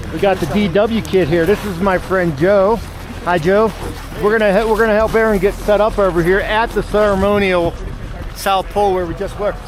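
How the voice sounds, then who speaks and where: Noticeable background noise sits behind a man's voice. He talks with a high pitch at a fairly quick pace. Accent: American. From US, Pittsburgh area. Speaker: travel show host. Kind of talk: casual chat. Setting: outdoors. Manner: animated.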